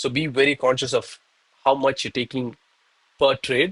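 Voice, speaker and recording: A man talks at a fairly quick pace in a Tamil Indian accent. His pitch is fairly high, and the sound is dry and close with no echo. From India, Chennai, Tamil Nadu. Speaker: live-streaming day trader. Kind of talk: live trading stream commentary. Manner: casual, animated.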